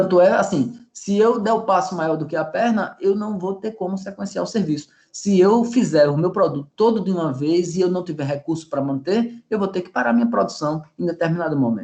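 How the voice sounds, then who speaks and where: Lively in intonation, a man with a high pitch talks at a fairly quick pace with hardly any pauses. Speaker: professor. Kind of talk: lecture.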